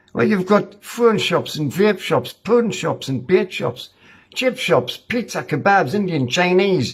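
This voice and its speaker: A man's angry, high-pitched voice in a Northumbrian accent, at a fairly slow pace with very wide pitch swings. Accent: Northumbrian pitmatic dialect. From Ashington, Northumberland. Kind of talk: spoken-word poem, rhyming rant. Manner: angry, blunt, colloquial.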